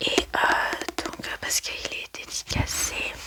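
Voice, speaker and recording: A woman is whispering at a fairly slow pace. Noticeable background noise runs underneath. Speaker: ASMR book-review creator. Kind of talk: casual ASMR book review talk to camera. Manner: soft, relaxed, conversational.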